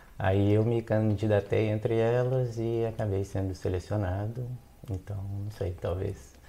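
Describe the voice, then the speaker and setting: With a Minas Gerais accent, a man speaks fairly slowly in a fairly low, dark, mellow, somewhat breathy voice with fairly even intonation. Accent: Mineiro Brazilian Portuguese. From Belo Horizonte, Minas Gerais, Brazil. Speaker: philosophy researcher, postdoc. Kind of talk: casual interview chat.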